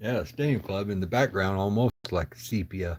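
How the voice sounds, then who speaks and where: A man mumbles at a moderate pace in a fairly low, somewhat breathy voice with ordinary pitch variation. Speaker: card collector livestreamer. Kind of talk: casual chat. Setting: livestream. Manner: mumbling.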